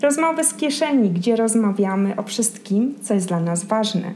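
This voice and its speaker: A woman with a medium pitch talks fairly slowly, her pitch varying in an ordinary way, while background noise is noticeable. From Poland. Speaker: podcast host. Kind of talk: scripted narration; casual chat.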